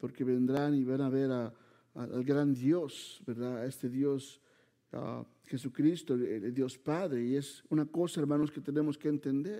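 The recording is very clean with a silent background. A man speaks fairly slowly at a fairly high pitch in a dark, mellow tone. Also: ordinary pitch variation. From Mexico City. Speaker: preacher. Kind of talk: sermon. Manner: halting.

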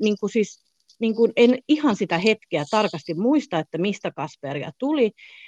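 A woman's fairly high voice with very wide pitch swings, at a fairly quick pace, dry and close with no echo. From southern Finland. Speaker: hotel manager. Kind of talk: interview.

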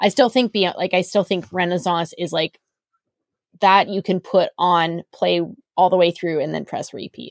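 In a dry, close recording with no echo, a woman with a plain, everyday voice speaks at a moderate pace, her fairly low pitch moving in fairly even intonation. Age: 40s. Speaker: podcast host. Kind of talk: casual chat.

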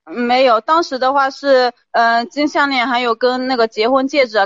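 Pitch varies in an ordinary way as the words come fairly quickly. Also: woman. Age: 30s. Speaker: caller, shop owner. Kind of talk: advice call-in. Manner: hesitant.

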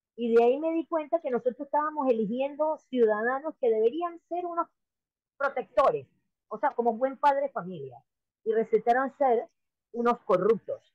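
With lively intonation, a woman speaks at a moderate pace in a high voice. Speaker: political candidate. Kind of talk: interview.

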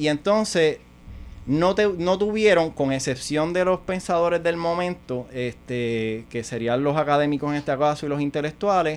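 A man with a normal speaking voice, ordinary pitch variation and a moderate pace. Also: fairly high pitch for a man. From Puerto Rico and New York. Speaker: podcast guest. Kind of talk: casual chat.

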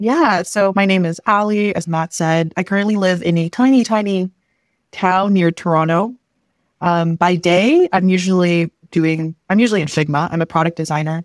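A normal speaking voice from a woman in a Canadian accent, fairly low in pitch with ordinary pitch variation and a moderate pace, dry and close with no echo, in a very clean recording with a silent background. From Philippines, then Canada from age 8. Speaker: product designer and UX instructor. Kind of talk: casual interview chat.

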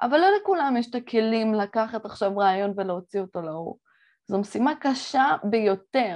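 Lively intonation marks this woman's fairly high-pitched voice. She talks at a moderate pace against a quiet background. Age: 20s. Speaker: entrepreneur and podcast host. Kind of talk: solo podcast monologue. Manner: animated.

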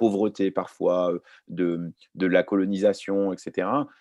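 A man's very deep, low voice stays monotone and flat. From Lebanon, raised in France from age 4. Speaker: journalist and author. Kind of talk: round-table talk.

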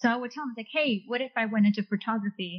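Here a woman talks with ordinary pitch variation. Her voice is somewhat breathy. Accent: Californian. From Orange County, California. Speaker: engineer. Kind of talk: casual interview chat.

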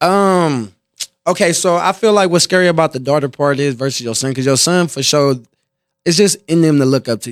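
In a normal speaking voice with an American accent, the speaker moves at a fairly quick pace with ordinary pitch variation. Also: man, fairly high pitch for a man. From Compton, California. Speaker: rapper and entrepreneur. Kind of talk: casual interview chat.

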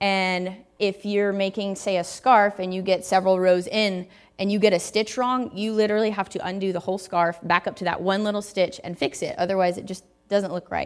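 Over music in the background, a woman with a Southern US accent speaks at a medium pitch and fairly quick pace, her intonation monotone and flat. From US South, Tennessee. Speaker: guest preacher. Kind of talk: sermon. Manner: casual, conversational.

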